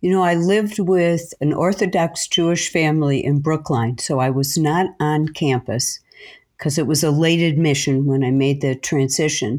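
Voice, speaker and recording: A woman with an American accent talks in a very deep, low pitch at a moderate pace. Her loudness stays very even and her pitch varies in an ordinary way. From US Midwest, Chicago. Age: 70s. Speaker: retired teacher. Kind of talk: interview.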